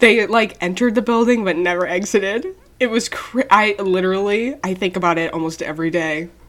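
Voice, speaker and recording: Fairly quick in pace, a woman speaks in an ordinary speaking voice, medium in pitch with ordinary pitch variation. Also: hardly any pauses. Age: 20s. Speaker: podcast co-host. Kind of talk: casual chat.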